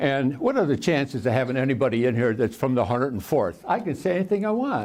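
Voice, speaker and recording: A man with a medium-pitched voice talks at a very fast pace, his intonation lively. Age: 90s. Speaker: war veteran. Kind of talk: public talk; telling a joke. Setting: library talk with audience. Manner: halting.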